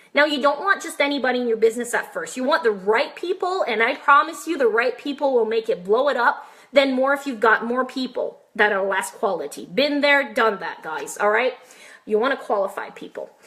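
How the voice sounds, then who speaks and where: Against noticeable background noise, a woman talks in a high voice with very wide pitch swings. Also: fairly quick pace. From French Canada. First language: French. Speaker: online marketer and massage therapist. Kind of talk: live stream tutorial. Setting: live video stream. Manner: high energy.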